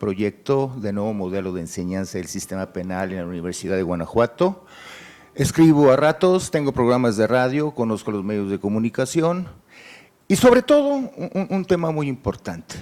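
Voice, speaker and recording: Here a man speaks at a moderate pace in a medium pitch, with a dark, mellow tone. His pitch swings very widely. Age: 60s. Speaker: job applicant, lawyer. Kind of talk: job interview. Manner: halting; formal.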